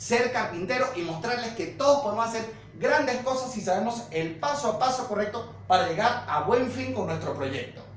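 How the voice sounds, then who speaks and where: A man's high voice with lively intonation at a moderate pace, hardly any pauses, audible room echo and light background noise. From Venezuela. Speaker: woodworking youtuber. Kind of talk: youtube outro. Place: home room.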